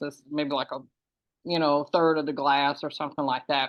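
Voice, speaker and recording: At a moderate pace, a woman speaks in a monotone with very deep, low pitch. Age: 60s. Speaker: herbalist facilitator. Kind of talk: casual chat. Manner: halting.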